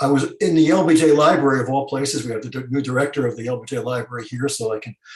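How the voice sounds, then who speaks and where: Very fast and somewhat breathy, a man talks with an American accent. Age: 70s. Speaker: historian. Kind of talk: panel discussion. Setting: video call. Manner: halting.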